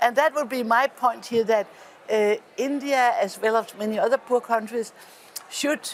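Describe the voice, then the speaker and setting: A woman with a Danish accent speaks at a moderate pace in a high voice with ordinary pitch variation, over noticeable background noise. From Denmark. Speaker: politician. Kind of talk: panel discussion. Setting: parliament event. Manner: halting.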